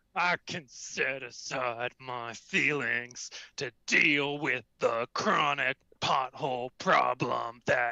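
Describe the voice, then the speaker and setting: The put-on character voice moves along at a very slow pace. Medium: game stream. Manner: bickering, self-righteous.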